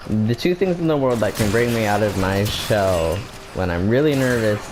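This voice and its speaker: A quiet voice comes through with music in the background. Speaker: gaming YouTuber. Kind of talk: casual video commentary. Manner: halting, with many fillers.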